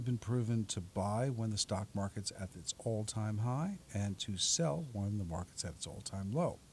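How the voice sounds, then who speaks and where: In an American accent, a man with a medium pitch speaks at a moderate pace. His voice is somewhat breathy. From New York City, Staten Island. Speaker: portfolio manager and author. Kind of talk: radio interview. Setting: radio studio.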